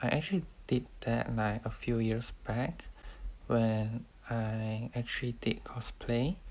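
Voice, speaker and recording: This man is soft-spoken. He talks at a fairly slow pace. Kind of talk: casual talk to camera.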